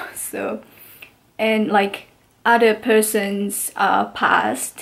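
A woman with a non-native accent speaks in a fairly high pitch. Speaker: international student. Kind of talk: casual talk to camera. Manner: hesitant, many filler sounds. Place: home room. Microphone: phone near.

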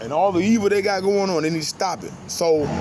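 At a moderate pace, a man with a high pitch talks with ordinary pitch variation amid noticeable background noise. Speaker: vlogger. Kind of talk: casual vlog rant. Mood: preachy, indignant. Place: street. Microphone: phone near.

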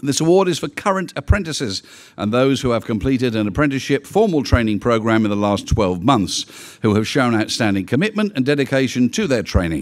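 Against a quiet background, a man talks at a fairly quick pace with hardly any pauses. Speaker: awards host. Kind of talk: formal announcement. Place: hall.

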